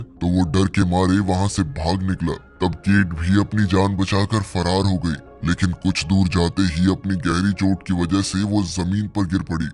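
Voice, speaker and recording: Against clear background music, a man with a very deep, low pitch talks at a moderate pace in a flat monotone with very even loudness. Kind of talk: movie explanation voice-over. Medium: read story. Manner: suspense-building storytelling.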